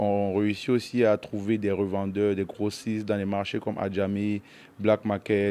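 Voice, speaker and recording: A man's fairly low, dark and mellow voice. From Cameroon, Yaoundé; Cameroon. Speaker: entrepreneur; interviewee. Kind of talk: interview. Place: shop. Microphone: handheld.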